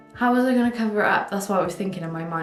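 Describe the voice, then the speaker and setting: A woman with a British accent, medium pitch and ordinary pitch variation, at a very fast pace, with audible room echo and noticeable background noise. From UK. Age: 20s. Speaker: vlogger. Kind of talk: casual chat. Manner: casual, filler-heavy.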